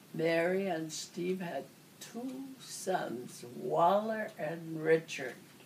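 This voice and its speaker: Audible room echo surrounds a woman speaking at a very slow pace. Her pitch is fairly low, with ordinary variation. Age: 80s+. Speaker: elderly relative recalling family history. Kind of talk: oral history interview. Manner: halting.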